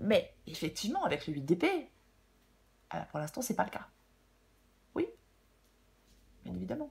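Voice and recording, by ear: Her voice has a husky, rough edge, a slightly mellow tone and vocal fry, moving at a moderate pace with big pitch swings. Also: medium pitch for a woman.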